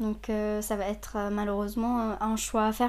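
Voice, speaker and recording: A woman's fairly high voice, dark and mellow in tone, with monotone, flat intonation. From Saudi Arabia. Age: 20s. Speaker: psychology student. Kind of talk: personal testimony. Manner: halting.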